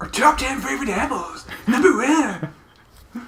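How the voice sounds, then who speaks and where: The pitch sits fairly high in a put-on character voice. The pace is fairly slow. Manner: announcer-like, showy.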